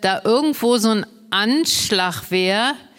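Very slowly, a woman with a fairly high pitch speaks using lively intonation. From Brandenburg. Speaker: Low German advocate and cabaret artist. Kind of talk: casual chat.

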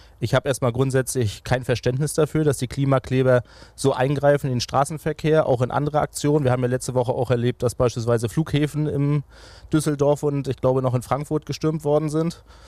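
A man's dark, mellow tone at medium pitch, fairly quick in pace, with a dry, close sound and no echo. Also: fairly even intonation. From Mecklenburg-Vorpommern, Greifswald. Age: 30s. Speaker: regional party leader and politician. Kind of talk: political interview.

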